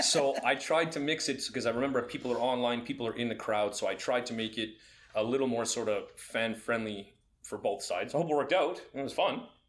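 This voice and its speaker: The speaker is a man. He talks at a fairly quick pace with ordinary pitch variation. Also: medium pitch for a man. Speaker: fight commentator and podcast co-host. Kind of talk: casual chat. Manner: loud.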